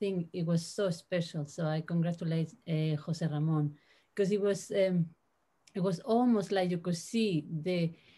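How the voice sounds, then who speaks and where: A woman with a Spanish accent, fairly low in pitch and somewhat breathy, with a dark, mellow tone, fairly even intonation and a moderate pace. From Spain. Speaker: translator. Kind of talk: panel discussion. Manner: halting.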